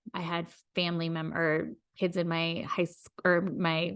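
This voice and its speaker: Fairly even intonation over a quiet background. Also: woman. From US Midwest, rural Iowa. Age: 40s. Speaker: podcast host. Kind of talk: personal storytelling monologue.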